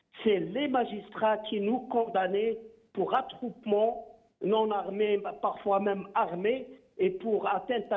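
A high-pitched man at a very slow pace, with ordinary pitch variation. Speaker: human rights lawyer. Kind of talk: political talk show debate. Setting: phone call.

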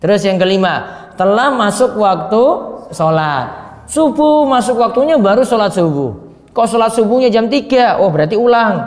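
A man at high pitch, with lively intonation and a moderate pace. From Indonesia. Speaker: Islamic religious teacher; religious teacher. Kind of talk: religious lecture; lecture. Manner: conversational, repetitive teaching style. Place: hall. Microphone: podium.

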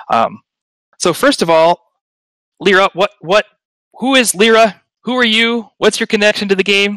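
A man speaks at a high pitch with a bright, sharp tone and ordinary pitch variation. The sound is dry and close, with no echo. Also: moderate pace.

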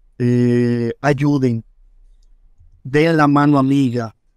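A man's monotone, flat intonation comes through in a dry, close sound with no echo. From Dominican Republic, Villa Duarte (Santo Domingo Este). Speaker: first-aid rescuer and instructor. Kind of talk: interview testimony.

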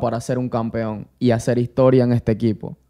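A voice with a dark, mellow tone comes through over a quiet background. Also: man. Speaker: sports podcast host. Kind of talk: interview. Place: studio. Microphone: studio mic.

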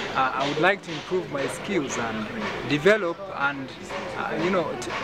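A man at a moderate pace with lively intonation, against loud background noise. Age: 20s. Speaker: student writer. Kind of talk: interview. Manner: halting. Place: garden.

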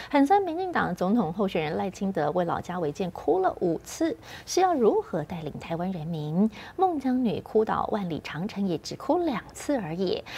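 The woman's tone is dark and mellow, somewhat breathy. Her pitch swings very widely as she speaks at a moderate pace. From Taiwan. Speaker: news anchor. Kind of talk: news reading. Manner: formal. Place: studio.

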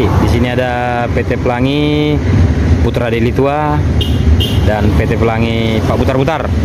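A fairly slow delivery against loud background noise. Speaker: bus spotter vlogger. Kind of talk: casual vlog commentary. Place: street. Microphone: phone near.

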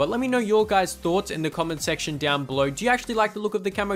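With noticeable background noise behind him, a man in an Australian accent speaks with lively intonation. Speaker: gaming YouTuber. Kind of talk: gameplay commentary. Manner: casual, filler-heavy.

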